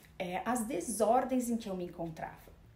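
A woman is speaking. Room echo is audible. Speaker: speaker. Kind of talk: lecture. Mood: calm, reflective. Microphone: phone near.

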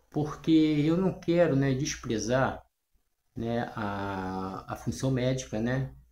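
A man speaks in a dark, mellow tone that is somewhat breathy. Audible room echo surrounds his voice. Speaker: natural health and self-healing channel host. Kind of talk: casual talk to camera. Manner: hesitant, with frequent fillers. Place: home room. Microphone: phone near.

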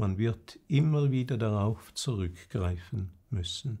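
A man speaks with a fairly low pitch and lively intonation. His voice is somewhat breathy. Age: 80s+. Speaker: retired bishop; bishop. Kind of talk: prepared personal statement; formal memoir narration. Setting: video recording. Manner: formal. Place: home room.

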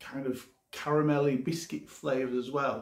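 A man's slightly mellow voice with audible room echo

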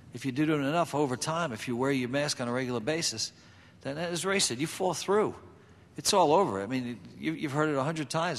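A man with a fairly high pitch speaks fairly quickly with ordinary pitch variation in an unremarkable speaking voice. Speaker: fire service safety panelist. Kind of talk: panel discussion. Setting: stage with audience. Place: hall. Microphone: podium.

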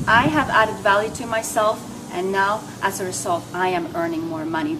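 Over noticeable background noise, a woman speaks at a fairly slow pace. Her intonation is lively. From Norway. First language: Norwegian. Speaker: network marketer. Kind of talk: testimony. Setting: home. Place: hall. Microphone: camera far.

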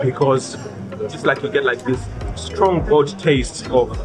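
A man speaks at a moderate pace. Clear music plays in the background. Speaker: food travel vlogger. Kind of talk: casual vlog chat. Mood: delighted, enthusiastic. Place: cafe. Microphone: phone near.

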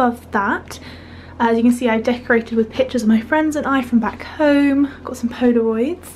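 A woman with a British accent talks at a fairly quick pace in a high pitch, with fairly even intonation and light background noise. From UK. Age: young. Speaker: student vlogger. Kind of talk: vlog room tour. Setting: student bedroom. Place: home room. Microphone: phone near.

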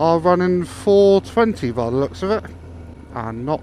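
The sound is dry with no echo but carries noticeable background noise. A man speaks at a fairly slow pace. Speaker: motorcycle vlogger. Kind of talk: casual vlog chat. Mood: relaxed, chatty. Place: motorbike. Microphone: helmet.

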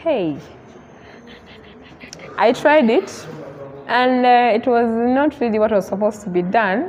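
Against light background noise, a woman speaks at a fairly slow pace. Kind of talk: interview answer. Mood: relaxed, storytelling. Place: hall. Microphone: lapel.

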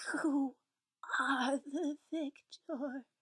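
Her delivery is monotone and flat, and this woman speaks at a high pitch. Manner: eerie, haughty, collective 'we'.

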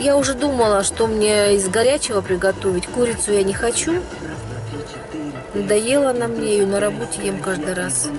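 Clear music plays behind a woman speaking at a very slow pace, and the sound is dry with no echo. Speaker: vlogger. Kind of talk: casual vlog chat. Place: car. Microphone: phone near.

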